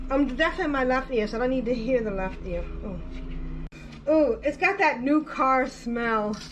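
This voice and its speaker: A woman talks at a moderate pace and a high pitch with ordinary pitch variation. Room echo is audible, and background noise is noticeable. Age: 60s. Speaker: podcast host. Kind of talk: unboxing monologue. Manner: animated.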